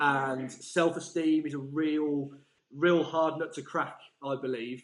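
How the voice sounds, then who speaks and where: Speaking at a very slow pace, this man has a fairly high pitch and a monotone, flat intonation. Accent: English. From England. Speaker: learning mentor. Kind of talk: interview answer.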